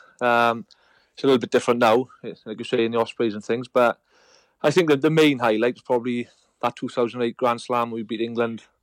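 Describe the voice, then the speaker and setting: Someone with a Welsh accent speaks at a very fast pace with fairly even intonation, the sound dry and close with no echo. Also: man, medium pitch for a man. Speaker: retired rugby player. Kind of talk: casual chat.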